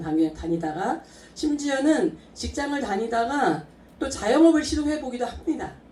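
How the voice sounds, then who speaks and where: A woman speaks at a moderate pace with very wide pitch swings. Noticeable background noise is present. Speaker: network marketing distributor. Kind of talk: business presentation to audience.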